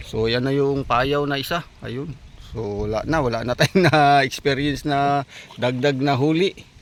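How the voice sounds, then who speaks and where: Noticeable background noise behind a man at a fairly slow pace. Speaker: vlogger. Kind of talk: casual vlog narration. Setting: outdoors by a river.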